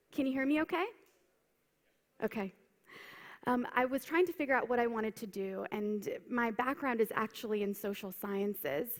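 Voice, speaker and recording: In a plain, everyday voice, a woman talks at a moderate pace in a fairly high pitch. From United States. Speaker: keynote speaker, consultant. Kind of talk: conference keynote. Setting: stage with audience.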